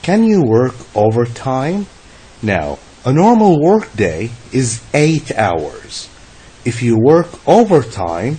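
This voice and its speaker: In an Arabic accent, a man talks at a very slow pace with medium pitch and very wide pitch swings. Noticeable background noise runs behind him. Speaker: English teacher. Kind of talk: lecture. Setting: online lesson.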